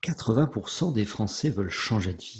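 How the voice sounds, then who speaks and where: A man's fairly low voice, somewhat breathy, with lively intonation. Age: 50s. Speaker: podcast host, comedian. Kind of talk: interview.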